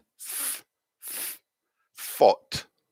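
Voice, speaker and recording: A man with a Scottish accent, recorded with a dry, close sound and no echo. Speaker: English teacher. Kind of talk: live online pronunciation lesson. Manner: slow, clear modelling of sounds.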